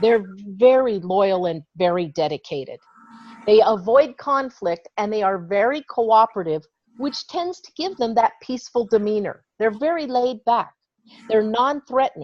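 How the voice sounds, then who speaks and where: In a normal speaking voice, a woman speaks at a fairly slow pace and fairly high pitch with lively intonation. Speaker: trainer. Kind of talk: online training presentation.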